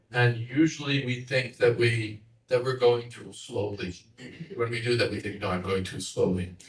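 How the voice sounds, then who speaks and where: A man with an American accent sounds somewhat breathy, showing ordinary pitch variation and big swings in loudness. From United States. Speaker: monk and teacher. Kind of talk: lecture.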